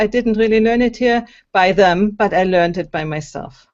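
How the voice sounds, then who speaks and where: With a German accent, a woman speaks using ordinary pitch variation. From Germany. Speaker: singer and empowerment coach. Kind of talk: interview. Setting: video call.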